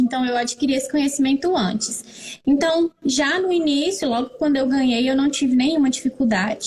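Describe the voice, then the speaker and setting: A woman's high-pitched, lively intonation over noticeable background noise. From Brazil, northern Minas Gerais (Montes Claros). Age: 30s. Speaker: pharmacist and mother sharing experience. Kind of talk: interview, personal testimony. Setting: live stream.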